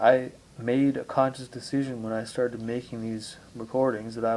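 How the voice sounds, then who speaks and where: A man's dark, mellow tone with monotone, flat intonation. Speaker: amateur video blogger on spirituality. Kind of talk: reflective monologue. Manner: slow; deliberate.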